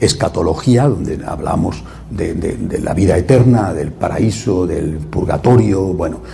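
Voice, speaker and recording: A man talks at a fairly slow pace, his pitch swinging very widely. Audible room echo and noticeable background noise fill the recording. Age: 60s. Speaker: priest. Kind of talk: religious talk. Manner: halting.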